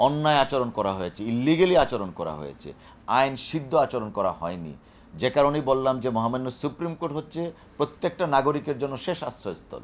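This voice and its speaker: This man has a plain, everyday voice at a medium pitch, and his intonation is lively. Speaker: lawyer. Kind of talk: press statement.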